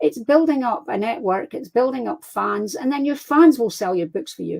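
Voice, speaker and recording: Here is a woman with a Scottish accent, talking at a moderate pace. Her pitch swings very widely. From Scotland. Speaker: crime fiction author. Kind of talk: interview. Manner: animated.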